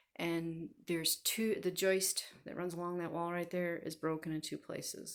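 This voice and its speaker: At a moderate pace and with fairly even intonation, the voice comes through on a very clean recording with a silent background. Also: woman. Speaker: home renovation vlogger. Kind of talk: casual vlog update.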